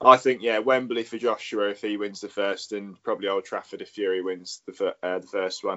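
In a normal speaking voice, the man moves along at a fairly quick pace. Fairly low in pitch, he keeps his intonation fairly even. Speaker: podcast co-host. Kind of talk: casual chat.

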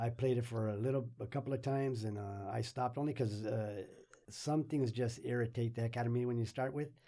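Fairly quick and fairly even in intonation, a man speaks at a medium pitch. His tone is dark and mellow. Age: 60s. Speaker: guest, anime fan and grandfather. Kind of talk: casual chat. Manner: halting.

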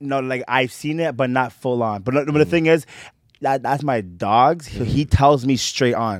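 A man talks at a moderate pace in a medium pitch. He has a normal speaking voice. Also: ordinary pitch variation. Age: 20s. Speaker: podcast guest, videographer. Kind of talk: casual chat.

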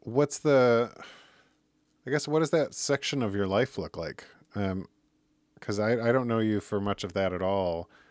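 A man with a Michigan accent talks at a moderate pace and medium pitch, with ordinary pitch variation and long, frequent pauses. The recording is very clean, with a silent background and a dry, close sound with no echo. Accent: Midwestern American (Michigan). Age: 40s. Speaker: podcast host. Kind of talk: casual chat; podcast intro/outro monologue.

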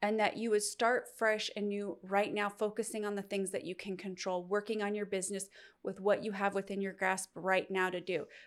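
The intonation is monotone and flat, and the recording is very clean with a silent background. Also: woman, medium pitch for a woman, moderate pace. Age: 40s. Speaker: podcast host and faith-based business coach. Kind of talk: motivational monologue.

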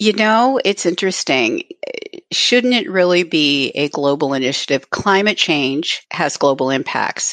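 A woman speaks at a fairly slow pace, her pitch swinging very widely while her loudness stays very even. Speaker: consultant on historic preservation and climate resilience. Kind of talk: casual interview.

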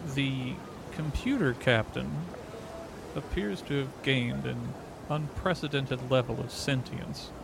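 Over noticeable background noise, a man speaks at a medium pitch with ordinary pitch variation. His pace is fairly slow, broken by long, frequent pauses. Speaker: tabletop roleplayer and streamer. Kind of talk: tabletop roleplaying game, in-character play.

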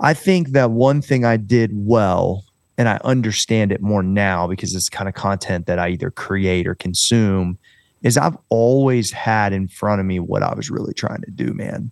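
An unremarkable speaking voice in an American accent, at a moderate pace, with ordinary pitch variation. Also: man, fairly low pitch for a man. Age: 40s. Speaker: fitness trainer and entrepreneur. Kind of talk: casual interview chat.

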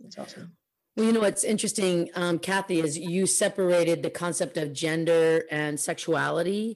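A woman speaks with a Californian accent at a fairly low pitch. Her intonation is fairly even and her pace moderate. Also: quiet background. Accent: general American, Californian. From Oakland, California. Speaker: podcast host. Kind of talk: casual chat.

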